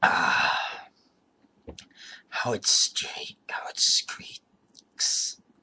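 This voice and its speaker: A man puts on a character voice at an extremely high pitch. It comes out raspy. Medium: read story. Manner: chuckling, rambling.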